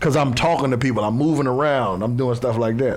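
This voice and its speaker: A man talks at a fairly quick pace with ordinary pitch variation. Noticeable background noise and audible room echo come through on the recording. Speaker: former football player and coach. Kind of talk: casual chat.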